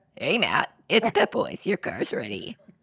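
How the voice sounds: This is a put-on character voice with a raspy edge. The pace is moderate. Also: fairly high pitch.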